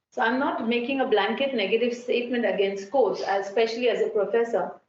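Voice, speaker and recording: Audible room echo surrounds this woman's voice. She speaks at a high pitch with ordinary pitch variation. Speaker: architecture professor. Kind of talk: conference talk.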